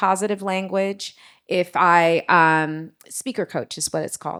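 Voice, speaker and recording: At a fairly slow pace, a woman speaks at medium pitch with a bright, sharp tone and fairly even intonation on a very clean recording with a silent background. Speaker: marketing leader. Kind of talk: panel discussion.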